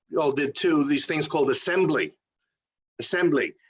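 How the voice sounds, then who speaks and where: This man speaks at a high pitch with a New York accent. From New York City (Queens). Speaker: playwright and theatre company founder. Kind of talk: interview. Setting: video interview.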